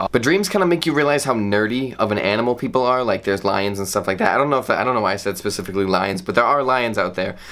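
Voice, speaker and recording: Over noticeable background noise, a man with a medium pitch talks at a very fast pace with lively intonation and hardly any pauses. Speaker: comedy vlogger. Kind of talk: comedic monologue. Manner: animated.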